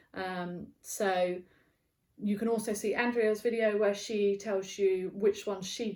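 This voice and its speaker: A woman with a British accent, medium in pitch, with fairly even intonation. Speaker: knitting podcaster and yarn dyer. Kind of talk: casual video podcast chat. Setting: barn. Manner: casual, many fillers.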